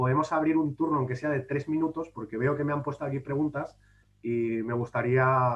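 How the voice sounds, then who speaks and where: At a moderate pace, a man speaks in an unremarkable speaking voice with fairly even intonation. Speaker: public administration official and speaker. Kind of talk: conference talk. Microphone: brief connection drop.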